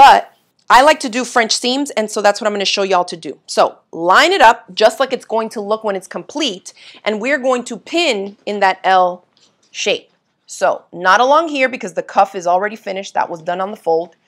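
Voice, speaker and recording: A woman in a normal speaking voice, fairly high in pitch, at a moderate pace, with lively intonation and big swings in loudness, over a quiet background. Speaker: sewing instructor. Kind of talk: live sewing tutorial. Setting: home sewing studio livestream. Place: home room.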